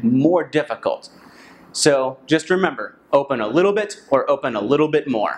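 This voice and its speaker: With a normal speaking voice, a man talks at a fairly slow pace, his fairly high pitch moving in lively intonation. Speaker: English pronunciation teacher. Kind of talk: instructional talk to camera.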